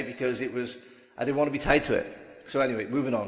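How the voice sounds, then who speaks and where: The speaker has a Welsh accent. Room echo is audible. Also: man. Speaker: online business vlogger. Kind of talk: casual vlog monologue, partly from notes. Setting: standing, recording to camera. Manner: conversational, with frequent fillers and restarts.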